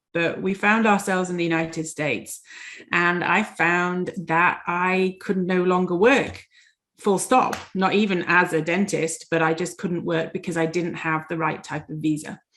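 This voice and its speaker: Speaking with a Yorkshire accent, a woman uses a fairly low voice at a moderate pace. Her intonation stays fairly even. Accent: English (Yorkshire) accent, noticeable. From Yorkshire, England. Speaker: dentist and life coach. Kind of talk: interview.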